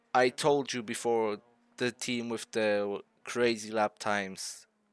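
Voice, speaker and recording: A fairly low-pitched man with a non-native accent at a fairly slow pace, the sound dry and close with no echo, in a very clean recording with a silent background. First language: not English. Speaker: sim racing YouTuber. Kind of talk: gameplay commentary over race footage. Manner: animated.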